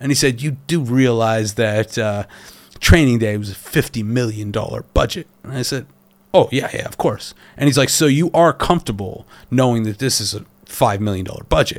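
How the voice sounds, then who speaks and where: With an ordinary speaking voice, a man talks at a medium pitch and a moderate pace with ordinary pitch variation. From Canada. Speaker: film director. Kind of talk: casual chat.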